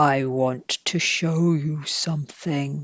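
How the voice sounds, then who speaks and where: Someone puts on a creaky character voice at a low-to-middle pitch, speaking very slowly. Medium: read story. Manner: quiet, mysterious.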